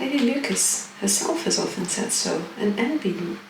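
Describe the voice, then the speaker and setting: A soft-spoken woman talks in a relaxed tone at a fairly slow pace. Her pitch swings very widely, and there is noticeable background noise. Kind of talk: soft-spoken audiobook-style reading of a classic novel. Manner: soft-spoken, relaxed.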